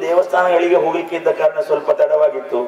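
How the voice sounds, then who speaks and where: There is noticeable background noise as a man talks with fairly even intonation. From coastal Karnataka–Kerala border (Kasaragod area). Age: 60s. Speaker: veteran folk theatre performer. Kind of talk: felicitation speech.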